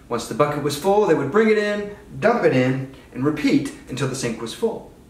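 A man talks at a moderate pace. Room echo is audible in the recording. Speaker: park ranger guide. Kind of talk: tour guide explanation. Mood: upbeat, playful. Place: kitchen.

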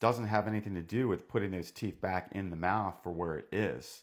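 A man with an unremarkable speaking voice, ordinary pitch variation and a fairly quick pace, against a quiet background. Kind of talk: educational explainer to camera. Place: home room. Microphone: lapel.

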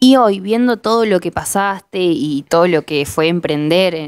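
A woman with a medium pitch and lively intonation speaks in an unremarkable speaking voice. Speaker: interviewer. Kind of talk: interview. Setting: studio.

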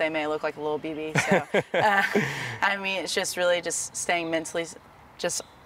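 A woman talks at a very fast pace and a fairly low pitch with fairly even intonation, in a dry sound with no echo and light background noise. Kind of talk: interview answer. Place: stadium.

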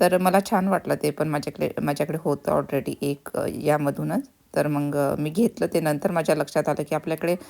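Her very deep, low voice has a dark, mellow tone, vocal fry and fairly even intonation as this woman speaks. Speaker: vlogger. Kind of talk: casual vlog narration.

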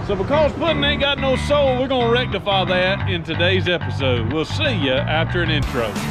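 The speech moves at a moderate pace. Music is clearly heard in the background. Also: man. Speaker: car restoration vlogger. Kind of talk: casual vlog chat. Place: forest. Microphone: phone near.

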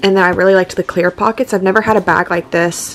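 The speaker uses an ordinary speaking voice at a fairly quick pace. Pitch varies in an ordinary way, with light background noise. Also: woman. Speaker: vlogger. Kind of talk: casual vlog chat. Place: home room. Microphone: phone near.

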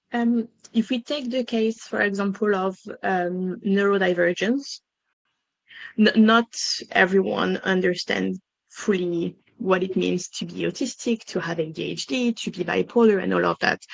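A woman speaks with a French accent at a fairly slow pace. Her pitch varies in an ordinary way. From France. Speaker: diversity and inclusion consultant. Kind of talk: business webinar interview. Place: home room. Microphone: headset.

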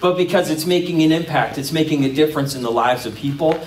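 A man talks with ordinary pitch variation amid audible room echo. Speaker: pastor. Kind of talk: sermon. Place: stage.

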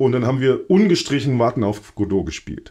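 Against a quiet background, a man speaks with a dark, mellow tone. His intonation is lively and his pace moderate. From Thuringia, Germany. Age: 40s. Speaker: theater director. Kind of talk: interview.

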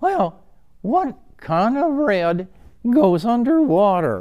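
A put-on character voice drawls along at a very slow pace. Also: man, high pitch for a man.

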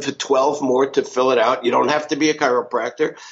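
A New York accent at a fairly quick pace. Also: man. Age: 70s. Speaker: business success coach. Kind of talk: podcast interview.

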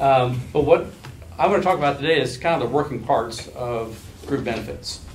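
The speech moves at a moderate pace with ordinary pitch variation over light background noise. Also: man. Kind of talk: presentation to officials. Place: meeting room. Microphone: camera far.

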